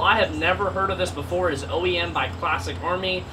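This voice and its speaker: A man's voice at a moderate pace over noticeable background noise. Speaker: airsoft youtuber. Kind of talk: casual vlog chat. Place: garage.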